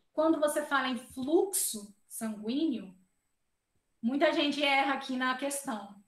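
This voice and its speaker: A high-pitched woman's voice with ordinary pitch variation and audible room echo. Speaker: biophysics professor. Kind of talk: lecture.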